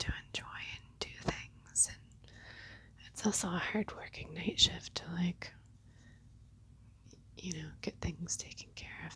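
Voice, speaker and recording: A woman whispers at a fairly slow pace, her loudness swinging widely. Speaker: nurse. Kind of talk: ASMR whisper ramble. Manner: whispered; casual, rambling.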